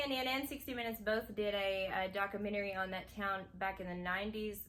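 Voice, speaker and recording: This woman speaks in a Kentucky accent with a bright, sharp tone, fairly high pitch and ordinary pitch variation. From Kentucky, McCreary County (rural Appalachia). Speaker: new video creator, channel co-host. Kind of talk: casual chat.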